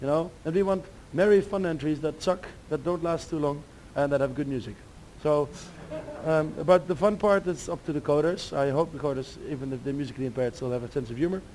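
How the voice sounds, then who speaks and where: A man speaks at a very fast pace with a fairly high pitch. His pitch variation is ordinary. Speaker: demoscene speaker giving a talk. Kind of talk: lecture. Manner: halting.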